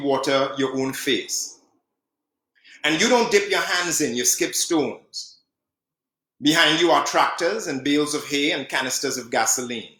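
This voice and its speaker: A man with a fairly high pitch and a bright, sharp tone talks at a moderate pace with ordinary pitch variation, and audible room echo can be heard. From Trinidad. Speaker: poet. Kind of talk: poetry reading; casual introduction.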